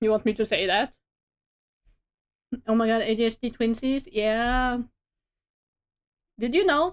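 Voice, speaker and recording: A woman talks in a strong Norwegian accent. Her pitch is fairly high, with ordinary variation. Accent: strong Norwegian regional dialect. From Norway. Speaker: streamer and artist. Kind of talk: casual chat.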